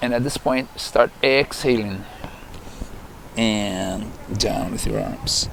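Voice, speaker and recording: Over noticeable background noise, a man speaks in a calm tone at a very slow pace and a medium pitch, with ordinary pitch variation and long, frequent pauses. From Brazil. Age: 60s. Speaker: yoga teacher. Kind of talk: guided yoga instruction. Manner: calm, slow.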